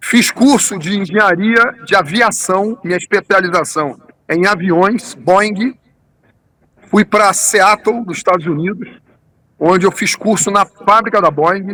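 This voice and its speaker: In a dry, close recording with no echo, the voice is raised and projected, moving at a fairly slow pace with long, frequent pauses and ordinary pitch variation. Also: man, high pitch for a man. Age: 60s. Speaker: tourism businessman, engineer. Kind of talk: interview. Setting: remote interview.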